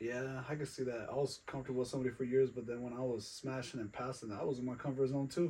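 A man's medium-pitched voice at a very fast pace, with fairly even intonation and hardly any pauses. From Colorado, Western Slope. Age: 30s. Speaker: podcast guest. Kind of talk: casual chat.

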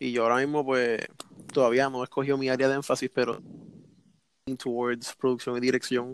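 Speaking in a Puerto Rican accent, a man uses a medium pitch and monotone, flat intonation, with a dry, close sound and no echo. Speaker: communications student, amateur camera operator. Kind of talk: casual chat. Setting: call.

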